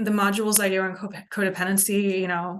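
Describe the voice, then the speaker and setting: At a very fast pace, a woman talks at a medium pitch. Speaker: addiction recovery counselor and indie musician. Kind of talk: casual vlog talk. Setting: recorded on Zoom. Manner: halting, many ums.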